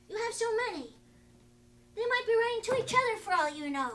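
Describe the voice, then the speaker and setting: Squeaky and put-on, this character voice races along very fast with lively intonation. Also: woman, extremely high pitch for a woman. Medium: stage play. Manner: dry, understated.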